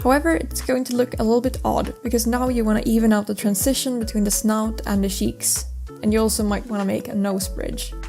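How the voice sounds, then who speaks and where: A woman speaks with a non-native accent over music in the background. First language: not English. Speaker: mask maker. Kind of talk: craft tutorial voice-over.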